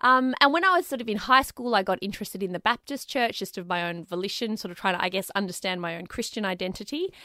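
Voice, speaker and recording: Her bright, sharp tone sits at medium pitch with ordinary pitch variation as a woman speaks on a very clean recording with a silent background and a dry, close sound with no echo. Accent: Australian. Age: 30s. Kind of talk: interview conversation.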